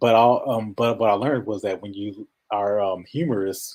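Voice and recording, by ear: A man speaks with a nasal, slightly mellow tone. His intonation is fairly even and his pace moderate.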